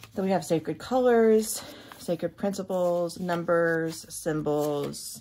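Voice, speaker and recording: A woman with a Kentucky accent, fairly low in pitch and fairly slow, with ordinary pitch variation, on a very clean recording with a silent background. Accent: Kentucky Southern pronunciation. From Kentucky, US South. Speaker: tarot reader and YouTuber. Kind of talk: casual unboxing walkthrough. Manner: animated.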